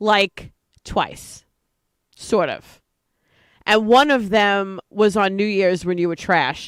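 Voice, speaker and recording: A woman with a slight New York accent, at a fairly slow pace. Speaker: online show co-host. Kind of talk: casual chat.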